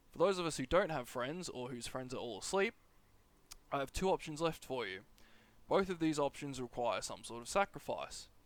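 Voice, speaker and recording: Lively intonation and big swings in loudness in an Australian accent, on a very clean recording with a silent background. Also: man, fairly high pitch for a man, moderate pace. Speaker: gaming YouTuber. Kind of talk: tutorial. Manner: casual, rambling delivery.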